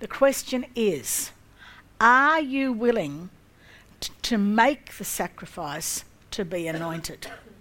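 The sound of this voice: A woman's fairly high, fairly bright voice with lively intonation at a slow pace.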